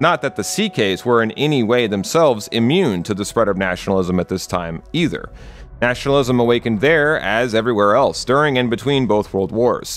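This man has a plain, everyday voice at medium pitch. He talks at a fairly quick pace with lively intonation. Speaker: video essayist. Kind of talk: scripted narration.

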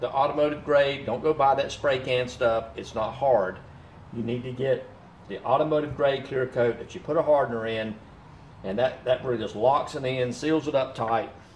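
A man talks at a moderate pace with fairly even intonation, with audible room echo and light background noise. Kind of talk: tutorial. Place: workshop. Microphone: camera far.

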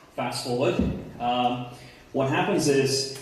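The man talks at a fairly slow pace with fairly even intonation. Strong room echo surrounds his voice. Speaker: conference presenter. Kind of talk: lecture. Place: hall. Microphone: camera far.

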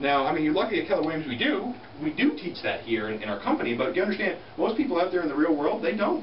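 Very wide pitch swings mark a man's high voice at a very fast pace. Room echo is audible, with light background noise. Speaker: real estate team leader. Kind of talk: motivational talk. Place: meeting room. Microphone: camera far.

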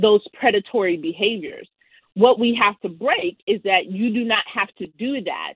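With an American accent, a woman talks at a moderate pace with ordinary pitch variation, in a dry sound with no echo against a quiet background. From US Northeast, Queens, New York; New York. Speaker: political strategist; guest. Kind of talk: interview. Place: home room. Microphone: video call.

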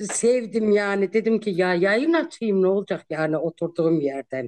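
The pace is fairly slow. The background is quiet. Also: woman. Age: 50s. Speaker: social media personality; guest. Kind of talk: casual interview. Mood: cheerful, laughing, warm. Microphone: video call.

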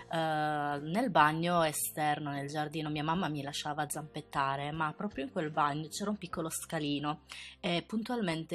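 At a moderate pace and with ordinary pitch variation, the speaker talks over music in the background. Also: woman. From Sardinia, Italy. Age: 20s. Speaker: beauty youtuber. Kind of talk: personal storytelling narration.

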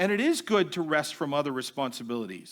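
In an American accent, a man's bright, sharp voice makes very wide pitch swings on a very clean recording with a silent background. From US Northeast (Massachusetts). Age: 60s. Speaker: seminary president. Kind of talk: lecture.

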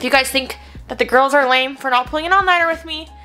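High-pitched woman's voice over faint background music. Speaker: vlogger. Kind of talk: casual vlog chat. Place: home room. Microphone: phone near.

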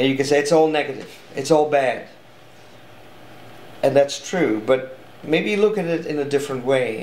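A man with a strong Dutch accent speaks at a fairly quick pace in a fairly high voice. His long, frequent pauses carry audible room echo. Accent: thick Dutch. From Netherlands. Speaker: artist and speaker; speaker. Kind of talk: interview answer. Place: home room.

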